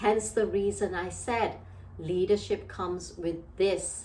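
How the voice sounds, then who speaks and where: A woman speaks fairly slowly with fairly even intonation, and audible room echo can be heard. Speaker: leadership trainer and coach. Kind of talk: motivational talk.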